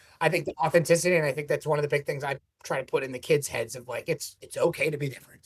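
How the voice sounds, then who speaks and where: At a very fast pace, a man with a fairly high pitch talks in fairly even intonation, with big swings in loudness. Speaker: business owner. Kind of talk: casual interview.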